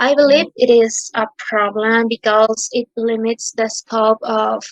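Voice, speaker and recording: A woman speaks in a Spanish accent with a fairly high pitch and monotone, flat intonation. The sound is dry and close with no echo. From Peru. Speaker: physics student. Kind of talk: prepared question. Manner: halting.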